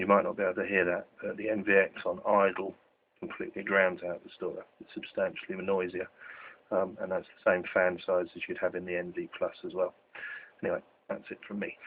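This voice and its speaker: A quiet man speaks with long, frequent pauses and big swings in loudness. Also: fairly quick pace. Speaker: tech product reviewer. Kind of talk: product demo. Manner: very quiet.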